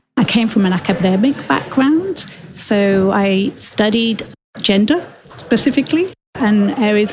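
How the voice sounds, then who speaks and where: A woman speaks with a British accent. Her pitch variation is ordinary. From northern England. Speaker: global health expert. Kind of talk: interview.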